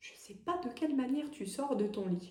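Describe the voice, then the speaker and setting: Over audible room echo, a woman speaks very slowly in a somewhat breathy, dark, mellow voice with lively intonation. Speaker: medium and energy healer. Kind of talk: tarot guidance reading. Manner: hesitant, many fillers; soft-spoken.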